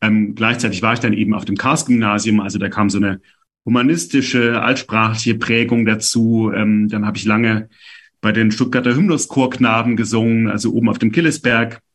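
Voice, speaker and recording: An unremarkable speaking voice, this man talks fairly quickly at a medium pitch with fairly even intonation. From Stuttgart, Swabia. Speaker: author. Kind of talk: interview. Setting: video call.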